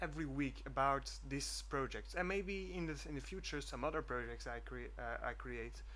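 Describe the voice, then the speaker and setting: Speaking with a Flemish accent at a moderate pace, the man leaves hardly any pauses. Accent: Flemish Dutch accent in English. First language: Dutch. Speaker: student programmer vlogger. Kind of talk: screencast vlog. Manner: halting, many fillers.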